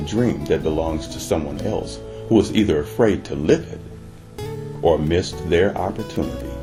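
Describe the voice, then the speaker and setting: Music in the background behind a man's very deep, low pitch at a moderate pace. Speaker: audio series narrator. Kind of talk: sleep story / ASMR-style audio story narration.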